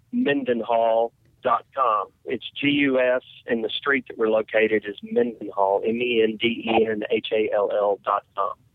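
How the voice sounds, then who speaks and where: A man speaks in a Southern US accent. His pace is fairly slow. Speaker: fried chicken restaurant owner. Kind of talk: interview.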